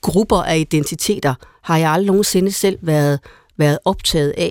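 Heard dry and close with no echo, a woman talks at a moderate pace with ordinary pitch variation in a plain, everyday voice. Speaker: priest and panelist. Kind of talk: radio panel discussion. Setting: studio. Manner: repetitive, restarts sentences.

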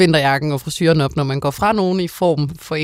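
A woman's voice with a very deep, low pitch. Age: 20s. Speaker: tv host. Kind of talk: casual chat.

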